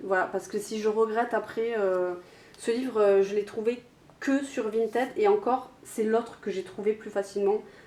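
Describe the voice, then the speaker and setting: Her pitch fairly high, a woman speaks at a moderate pace in a dark, mellow tone with fairly even intonation. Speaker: YouTuber. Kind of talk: casual vlog talk. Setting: home, alone, camera on tripod. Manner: hesitant, many fillers.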